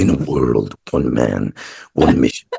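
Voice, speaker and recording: A man does a put-on character voice. It is very deep and low, delivered at a fairly slow pace. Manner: dramatic, portentous.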